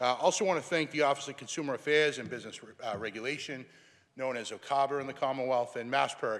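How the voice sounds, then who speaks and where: A man with a Boston accent talks at a medium pitch. He goes at a very fast pace. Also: ordinary pitch variation, big swings in loudness. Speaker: state senator. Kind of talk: legislative floor speech. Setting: senate chamber. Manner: formal.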